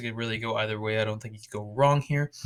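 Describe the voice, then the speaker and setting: This man's voice sits at a medium pitch and has a bright, sharp tone, with fairly even intonation. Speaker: NFL draft YouTuber. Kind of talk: solo video commentary. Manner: casual, hesitant with fillers.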